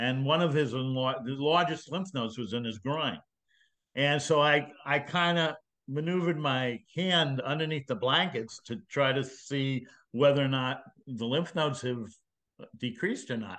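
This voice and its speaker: A man speaks in a bright, sharp tone at a fairly high pitch. His pitch varies in an ordinary way over a quiet background. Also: moderate pace. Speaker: retired physician. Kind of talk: interview.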